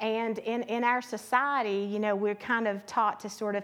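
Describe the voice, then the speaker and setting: A woman's ordinary speaking voice, fairly high in pitch, at a moderate pace. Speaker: panelist. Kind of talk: panel answers.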